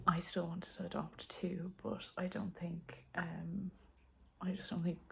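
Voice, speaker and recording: A woman whispering at a moderate pace with an Irish accent and vocal fry. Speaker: homesteading vlogger. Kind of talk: casual vlog update. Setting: home.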